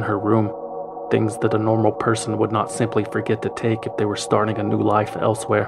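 Over music playing in the background, a man talks at a fairly quick pace. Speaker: podcast narrator. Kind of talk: true crime narration. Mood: serious storytelling.

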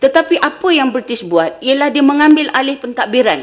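The background stays quiet. A woman talks at an even, moderate speed. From Malaysia. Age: 60s. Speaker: history professor. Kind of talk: lecture. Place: hall.

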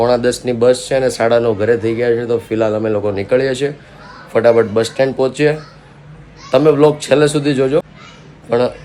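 Noticeable background noise accompanies a man speaking at a medium pitch with fairly even intonation. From Gujarat, Saurashtra. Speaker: family vlogger. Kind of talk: casual vlog talk.

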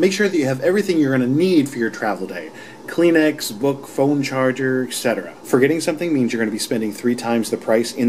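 A man talks at a very fast pace with hardly any pauses. There is light background noise. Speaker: travel show host. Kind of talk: tutorial. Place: home room. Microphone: phone near.

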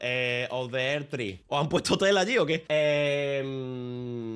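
Fairly high-pitched, a man speaks with a Spanish accent in an animated tone at a fairly slow pace. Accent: Spanish (Spain). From Spain. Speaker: streamer. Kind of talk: casual chat. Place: home room. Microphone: studio mic.

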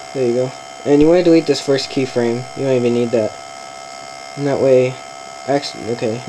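Through noticeable background noise, a man speaks at a fairly quick pace with fairly even intonation. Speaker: video editing tutorial maker. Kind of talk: casual software tutorial narration. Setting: laptop fan noise in background. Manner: quiet, low volume. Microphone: webcam.

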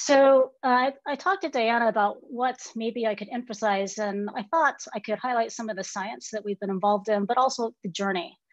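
Recorded dry with no echo against a quiet background, this woman's voice shows ordinary pitch variation. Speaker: guest. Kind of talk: lecture. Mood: warm, lightly amused. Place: home room. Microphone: webcam.

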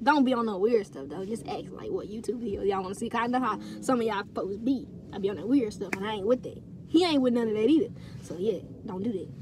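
A woman talks very fast with lively intonation and big swings in loudness, over noticeable background noise in a dry recording with no echo. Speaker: YouTube vlogger. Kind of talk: casual, slangy. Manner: fast talker. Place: car. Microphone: phone near.

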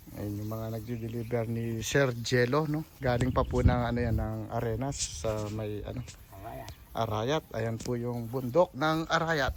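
Speaking in a Pampanga accent, a man at medium pitch talks at a fairly slow pace with big swings in loudness. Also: ordinary pitch variation. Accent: Kapampangan accent in Tagalog. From Pampanga, Philippines. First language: Kapampangan (speaking Tagalog). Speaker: construction contractor vlogger. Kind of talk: casual vlog narration. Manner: halting.

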